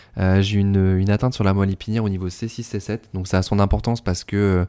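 A man speaks at a moderate pace in a fairly low pitch, his tone dark and mellow and his intonation monotone and flat, on a very clean recording with a silent background. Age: 30s. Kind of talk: interview. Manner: hesitant, many fillers.

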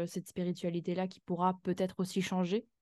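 A woman with a dark, mellow tone and medium pitch talks at a fairly quick pace against a quiet background. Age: 20s. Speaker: graphic designer and illustrator. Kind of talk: interview. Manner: halting.

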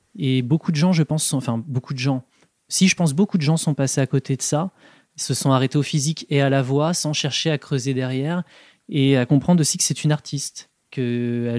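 At a moderate pace, a man speaks in an ordinary speaking voice, pitched fairly high, with ordinary pitch variation. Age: 30s. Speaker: music fan guest. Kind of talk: casual chat.

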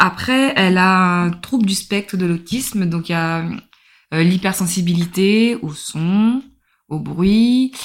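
A woman talks in a normal speaking voice with fairly low pitch. Her pitch variation is ordinary. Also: very clean recording, silent background. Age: 30s. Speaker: mother of a child with a rare disease. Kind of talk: interview testimony.

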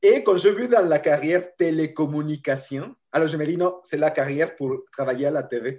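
Pitched fairly high with ordinary variation, a man's voice moves at a moderate pace. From Mexico. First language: Spanish (speaking French). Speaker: professor. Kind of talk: interview.

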